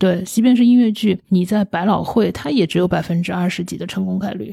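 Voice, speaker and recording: A woman with a medium-pitched, somewhat breathy voice and a dark, mellow tone speaks at a fairly quick pace with fairly even intonation in a very clean recording with a silent background. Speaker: theatre company founder and CEO. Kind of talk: interview.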